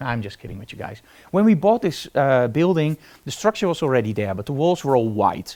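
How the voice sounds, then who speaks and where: A man with a Dutch accent speaks fairly quickly at a fairly high pitch in a dark, mellow tone, with very wide pitch swings and big swings in loudness, on a very clean recording with a silent background. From Netherlands. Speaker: photography teacher. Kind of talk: live tutorial. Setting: live stream from photo studio. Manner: casual.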